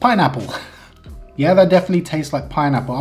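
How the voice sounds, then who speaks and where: A man's voice over faint background music. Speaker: food reviewer. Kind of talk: casual taste-test review. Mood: relaxed, mildly amused. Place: kitchen.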